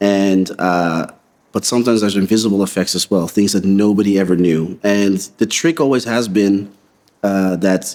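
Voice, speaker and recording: In an American accent, a man with a fairly low pitch talks at a moderate pace with fairly even intonation. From Netherlands (Utrecht area). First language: Dutch. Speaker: visual effects supervisor. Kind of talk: interview answers. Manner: casual with many fillers.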